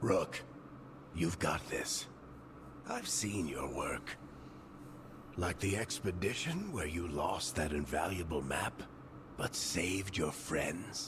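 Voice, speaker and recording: A man speaks in a put-on character voice with a very deep, low pitch, at a fairly slow pace. His long pauses come often, and loud background noise runs underneath. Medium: video game. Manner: wry, easygoing.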